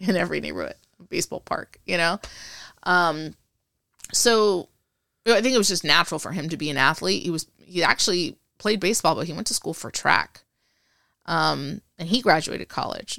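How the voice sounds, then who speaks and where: On a very clean recording with a silent background, a woman with a fairly low pitch sounds animated, her tone bright and sharp, with vocal fry and long, frequent pauses. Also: ordinary pitch variation, fairly quick pace, dry, close sound with no echo. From Puerto Rico, raised in Texas and Panama. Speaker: Air Force veteran. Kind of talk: casual interview.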